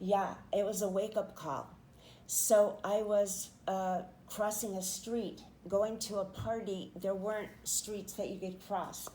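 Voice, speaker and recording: Amid audible room echo, a woman talks very slowly in a flat monotone, her medium-pitched voice dark and mellow in tone. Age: 70s. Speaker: poet and podcaster, author and painter. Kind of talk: interview testimony.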